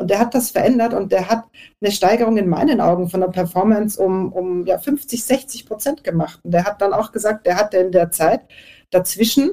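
Lively intonation rides over a dark, mellow tone, and the delivery keeps a moderate pace. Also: woman. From Austria. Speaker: networking and presentation coach. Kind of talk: panel discussion. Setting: online audio event.

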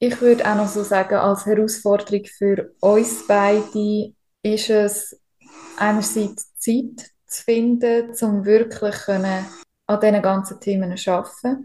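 A woman with a Swiss accent speaks at a fairly slow pace in a somewhat breathy, dark and mellow voice of medium pitch, her intonation flat and monotone. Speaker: podcast co-host, spiritual medium. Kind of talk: interview. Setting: hospital room.

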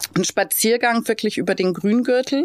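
With ordinary pitch variation, a woman speaks on a very clean recording with a silent background and a dry, close sound with no echo. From Lower Bavaria, Germany (Straubing). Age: 40s. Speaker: hotel director and city blogger. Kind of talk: interview. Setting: recording venue.

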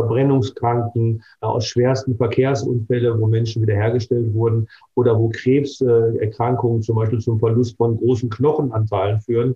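At a moderate pace, a man speaks with a medium pitch and flat, monotone intonation. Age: 60s. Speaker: dermatologist and cosmetic surgeon. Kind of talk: interview.

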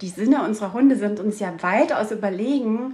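A woman with an ordinary speaking voice, fairly high in pitch and with lively intonation. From Saxony, Dresden region. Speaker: dog trainer and outdoor guide. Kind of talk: interview.

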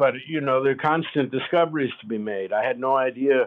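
Talking at a fairly quick pace, a man with an American accent has a plain, everyday voice of medium pitch and ordinary pitch variation. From United States. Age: 60s. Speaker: artist's grandson, audiobook narrator. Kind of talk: interview.

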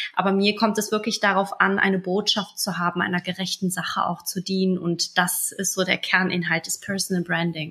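A woman's medium-pitched voice, flat and monotone, at a moderate pace with hardly any pauses, over noticeable background noise. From moved to Germany around age five, migrant background. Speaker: business coach and entrepreneur. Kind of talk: interview.

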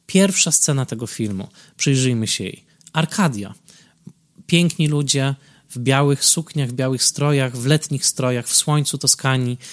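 In a very clean recording with a silent background and a dry, close sound with no echo, a man with a plain, everyday voice speaks at a moderate pace and fairly high pitch, with ordinary pitch variation. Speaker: film critic podcaster. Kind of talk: solo film commentary.

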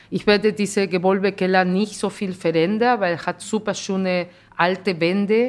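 In a Spanish accent, a woman talks at a moderate pace with monotone, flat intonation. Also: medium pitch for a woman, big swings in loudness. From Peru. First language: Spanish (speaking German). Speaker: restaurant owner. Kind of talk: interview. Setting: in her restaurant.

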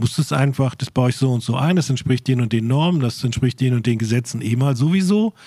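Somewhat breathy speech moves at a fairly quick pace with very even loudness and ordinary pitch variation. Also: man, medium pitch for a man, hardly any pauses. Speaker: podcast editor. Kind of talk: casual chat. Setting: warehouse.

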